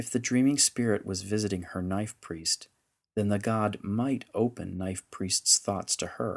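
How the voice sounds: Over a quiet background, the pitch varies in an ordinary way in a natural reading voice.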